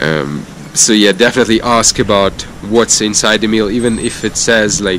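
In a dry recording with no echo but noticeable background noise, a man talks at a fairly low pitch with fairly even intonation. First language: not English (non-native speaker). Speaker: cycling vlogger. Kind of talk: casual vlog monologue. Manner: halting, many fillers. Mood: relaxed storytelling. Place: street. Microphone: phone near.

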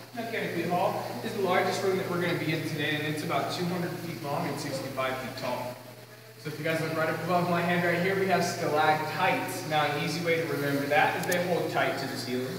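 Very fast speech comes through with strong room echo and noticeable background noise. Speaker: cave tour guide. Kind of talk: guided tour talk. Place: tunnel cave. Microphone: camera far.

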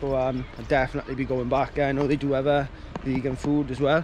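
Recorded dry with no echo, a man speaks at a moderate pace over noticeable background noise. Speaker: vlogger. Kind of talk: casual vlog chat. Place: beach. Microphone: phone near.

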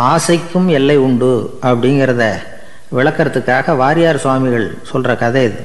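Pitched in the medium range, a man's voice shows ordinary pitch variation. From Tamil Nadu, India. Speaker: radio broadcaster. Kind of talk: radio storytelling talk. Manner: plain, conversational, gently humorous. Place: studio.

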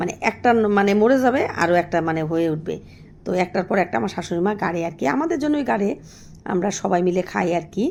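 A woman of medium pitch is speaking. Her pitch swings very widely. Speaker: village vlogger raising goats. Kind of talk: casual vlog talk to viewers. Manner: halting, many filler words.

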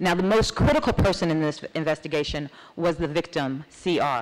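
Ordinary pitch variation and a moderate pace from a woman. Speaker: judge presenting a case. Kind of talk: conference presentation. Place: hall. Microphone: podium.

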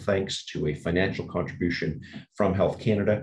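With ordinary pitch variation, a man talks at a moderate pace over light background noise. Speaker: webinar host. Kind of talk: formal webinar introduction. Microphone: webcam.

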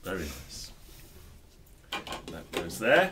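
This man speaks at a very slow pace. Light background noise sits behind him. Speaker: book discussion host. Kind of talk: book review chat and reading aloud. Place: shop. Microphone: studio mic.

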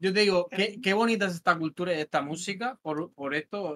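At a fairly quick pace, a man speaks in a high pitch with ordinary pitch variation, recorded with a dry, close sound and no echo. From Spain, Murcia. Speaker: music manager. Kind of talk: casual chat. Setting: at home.

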